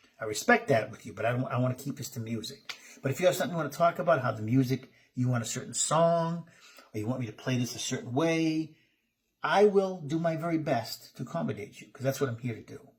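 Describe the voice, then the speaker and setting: A man talks at a very fast pace and medium pitch, somewhat breathy, with lively intonation. His loudness swings widely. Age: 50s. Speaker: musician and online host. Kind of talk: casual talk to camera. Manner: informal, conversational.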